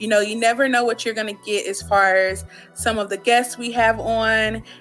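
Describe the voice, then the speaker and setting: With music in the background, a woman talks at a moderate pace in a fairly high pitch and a monotone, flat intonation. Her loudness swings widely. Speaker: radio host. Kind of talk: radio interview.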